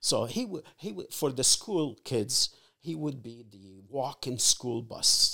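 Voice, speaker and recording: This man speaks very slowly at a medium pitch, with lively intonation and big swings in loudness. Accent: Arabic. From Egypt. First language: Arabic. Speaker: father of the host. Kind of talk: casual interview, life story. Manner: halting, many fillers.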